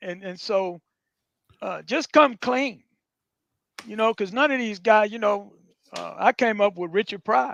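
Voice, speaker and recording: Pausing long and often, a man speaks in a high pitch with ordinary pitch variation and big swings in loudness, the sound dry and close with no echo. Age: 60s. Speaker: comedian. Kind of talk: casual chat.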